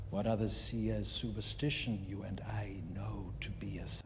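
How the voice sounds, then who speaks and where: A man speaks in a put-on character voice at a moderate pace, with loud background noise behind him. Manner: menacing.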